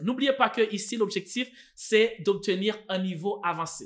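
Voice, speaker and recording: A man with a Haitian accent and lively intonation, on a very clean recording with a silent background. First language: Haitian Creole (speaking French). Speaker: French teacher. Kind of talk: tutorial. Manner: hesitant, many fillers and repeats.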